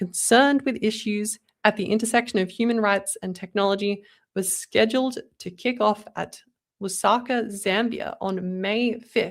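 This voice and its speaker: Fairly even intonation from a woman with an Australian accent. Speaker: podcast co-host. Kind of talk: casual chat; reading aloud.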